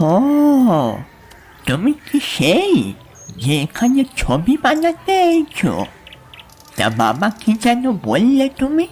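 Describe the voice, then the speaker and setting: A female-sounding, put-on character voice speaks at a very slow pace, nasal and fairly high in pitch. Its pitch swings very widely while its loudness stays very even. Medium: audio drama.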